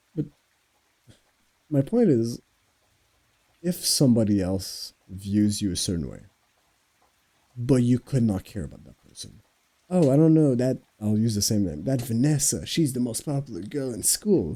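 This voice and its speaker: With a French Canadian accent, a man speaks at a moderate pace in a dark, mellow tone at medium pitch, with lively intonation. His loudness swings widely, and he takes long, frequent pauses. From Quebec. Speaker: podcast host. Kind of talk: casual monologue. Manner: halting.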